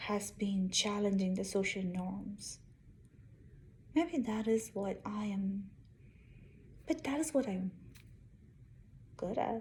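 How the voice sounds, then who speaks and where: Somewhat breathy and medium in pitch, a woman speaks at a very slow pace. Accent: Indian. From India. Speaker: engineer and vlogger. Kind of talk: casual vlog monologue.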